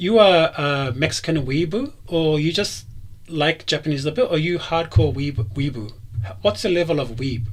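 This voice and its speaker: Intonation in this voice is lively. There is a somewhat breathy quality to it. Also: man, fairly high pitch for a man. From New Zealand. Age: 30s. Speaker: streamer hosting a call-in show. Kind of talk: casual chat. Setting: live stream with Discord calls. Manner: fast, animated.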